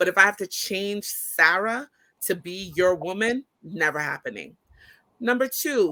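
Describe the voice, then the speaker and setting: A woman speaks loudly at medium pitch with a bright, sharp tone. Her intonation is lively and her pace fairly slow. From Brooklyn, Caribbean family. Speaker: business owner and college professor. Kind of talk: casual chat.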